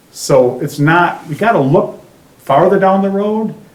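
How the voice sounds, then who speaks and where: With an Upper Midwest accent, a man talks using lively intonation, with audible room echo and noticeable background noise. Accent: Upper Midwest (Minnesota). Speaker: resident speaking at public forum. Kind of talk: public comment at town hall. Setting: town hall meeting.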